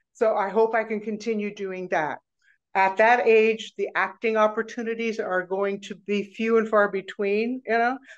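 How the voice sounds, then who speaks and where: A woman with an American accent speaks in a fairly high pitch. Her intonation is monotone and flat, and the background is quiet. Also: moderate pace. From US Midwest, Nebraska. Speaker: retirement seminar leader and performer; podcast guest. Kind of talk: interview conversation. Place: home room. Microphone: video call.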